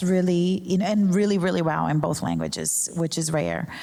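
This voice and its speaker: A woman speaks with a Portuguese accent at a fairly low pitch. The room echo is audible. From Brazil. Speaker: journalism professor. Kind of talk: panel discussion.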